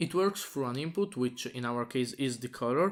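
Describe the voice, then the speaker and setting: On a very clean recording with a silent background, a man talks at medium pitch. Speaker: tech YouTuber. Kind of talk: tutorial. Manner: hesitant, many fillers.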